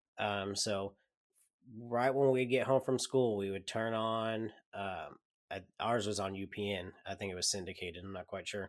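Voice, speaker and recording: A man with a normal speaking voice, fairly low in pitch, speaks at a moderate pace with fairly even intonation. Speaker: podcast host. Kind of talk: casual chat. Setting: remote recording.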